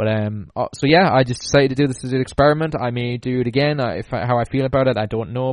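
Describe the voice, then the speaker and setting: A man with a Geordie accent at a very fast pace, medium in pitch, with ordinary pitch variation. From northeast England, Newcastle. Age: 20s. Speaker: podcast host. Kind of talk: solo podcast monologue.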